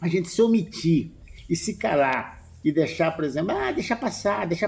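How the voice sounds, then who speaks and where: Over a quiet background, a man speaks in a high voice with a dark, mellow tone and very wide pitch swings. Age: 80s+. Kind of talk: interview conversation.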